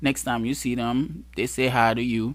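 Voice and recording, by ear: At a moderate pace, a man speaks with a fairly bright tone.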